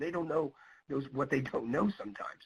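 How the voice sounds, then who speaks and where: This is a man with a fairly high voice. His tone is bright and sharp. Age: 60s. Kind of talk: webinar presentation.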